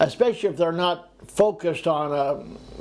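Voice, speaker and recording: A high-pitched man talks with an American accent. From California. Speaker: retired expat vlogger. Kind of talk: casual monologue vlog. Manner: halting, with fillers.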